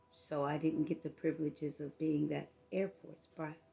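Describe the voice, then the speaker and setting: With music in the background, a woman speaks at a very deep, low pitch in an American accent. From Southern California. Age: 60s. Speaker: motivational vlogger. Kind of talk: personal testimony. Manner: casual, conversational.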